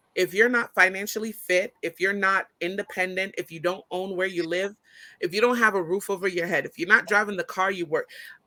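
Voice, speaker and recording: A woman speaks loudly and fairly quickly at medium pitch, her tone bright and sharp. The very clean recording has a silent background and a dry, close sound with no echo. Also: fairly even intonation. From Brooklyn, Caribbean family. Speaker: business owner and college professor. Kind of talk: casual chat.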